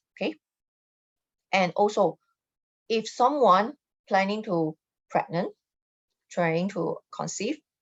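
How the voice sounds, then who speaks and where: Long, frequent pauses mark this woman's very slow speech, delivered at a medium pitch with ordinary pitch variation. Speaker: feng shui consultant. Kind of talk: live stream talk. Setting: live online stream.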